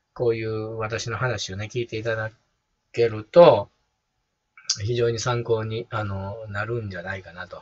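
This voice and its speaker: A man speaks with a Kansai accent. His voice is somewhat breathy. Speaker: personal trainer and YouTuber. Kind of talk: casual monologue. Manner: rambling, relaxed. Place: home room. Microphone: phone near.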